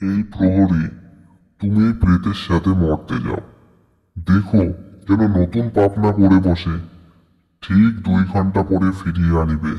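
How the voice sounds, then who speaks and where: At a fairly slow pace, a man puts on a cartoonish character voice with a very deep, low pitch and fairly even intonation. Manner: deferential, precise.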